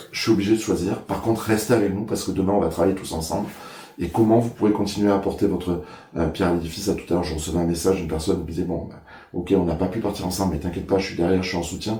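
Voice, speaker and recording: Amid audible room echo, a man with very deep, low pitch talks very fast with fairly even intonation. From Ariège, French Pyrenees. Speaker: mayor, election candidate. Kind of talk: interview. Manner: hesitant, many filler sounds.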